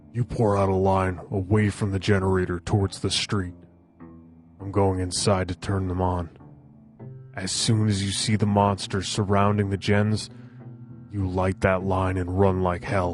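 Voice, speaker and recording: A man uses a put-on character voice with a very deep, low pitch, speaking at a moderate pace with monotone, flat intonation and long, frequent pauses. Clear music plays in the background. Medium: audio drama. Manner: earnest, decisive.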